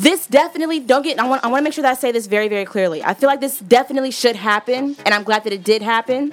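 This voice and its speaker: With music in the background, a woman talks at a very fast pace with hardly any pauses, her pitch high and its variation ordinary. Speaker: radio host. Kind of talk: radio dj patter, upbeat show banter. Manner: animated, warm, playful.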